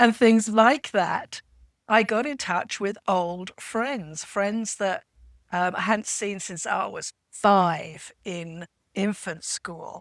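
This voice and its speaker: Speaking very slowly in a British accent, a woman at a medium pitch shows ordinary pitch variation and big swings in loudness, recorded very cleanly against a silent background with a dry, close sound and no echo. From England. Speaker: podcast panelist. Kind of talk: casual chat.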